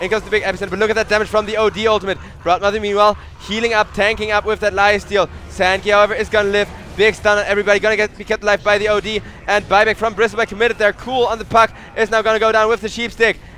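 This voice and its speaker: A man with a high voice speaks at a very fast pace in a raised, projected voice, with noticeable background noise around him. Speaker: esports caster. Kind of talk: live commentary. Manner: animated.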